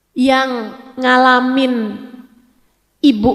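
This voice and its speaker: A woman's high voice with fairly even intonation. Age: 40s. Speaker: female Islamic preacher. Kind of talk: religious lecture. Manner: emotional, conversational.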